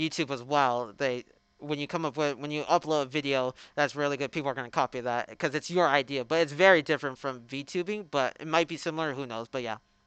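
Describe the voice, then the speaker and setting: Against a quiet background, a man with a fairly high pitch talks at a very fast pace with fairly even intonation. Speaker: YouTuber. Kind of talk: casual commentary. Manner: halting.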